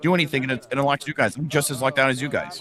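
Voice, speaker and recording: A man speaks at a very fast pace. The sound is dry and close with no echo, though noticeable background noise is present. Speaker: tournament commentator. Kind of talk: live commentary. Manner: loud.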